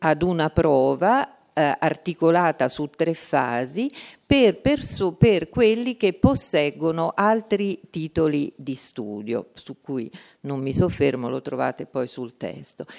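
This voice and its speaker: Fairly low in pitch, a woman speaks at a very slow pace with very wide pitch swings and big swings in loudness, in a dry, close sound with no echo. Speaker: institute director. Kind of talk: conference talk. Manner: formal.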